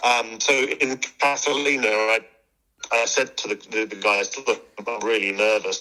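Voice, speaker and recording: With music in the background, the speech keeps a moderate pace and fairly even intonation. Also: man, medium pitch for a man. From Guernsey. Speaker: open water swimmer. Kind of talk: interview. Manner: halting.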